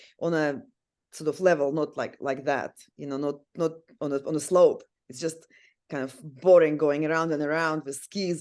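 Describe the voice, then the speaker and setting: A woman with a very deep, low voice and a Russian accent talks at a moderate pace in a monotone, flat delivery, her loudness swinging widely and her speech broken by long, frequent pauses. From Siberia, Russia. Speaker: sex and relationship counsellor, amateur ice hockey player. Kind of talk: podcast interview.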